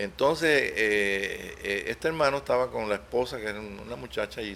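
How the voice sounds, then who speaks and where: Lively intonation carries a man's speech at a moderate pace. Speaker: preacher. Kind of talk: sermon. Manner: halting, with many repetitions.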